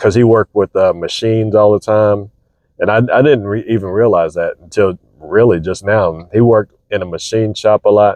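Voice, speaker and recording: A quiet man talks at a moderate pace with fairly even intonation. His pitch is fairly low. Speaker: vlogger. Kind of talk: casual monologue. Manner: methodical.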